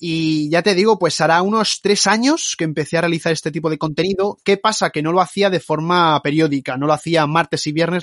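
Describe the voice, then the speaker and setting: Speaking very fast with hardly any pauses, a man holds a fairly high pitch and fairly even intonation. The sound is dry and close with no echo, over a quiet background. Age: 20s. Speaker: YouTube basketball documentary narrator. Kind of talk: podcast interview.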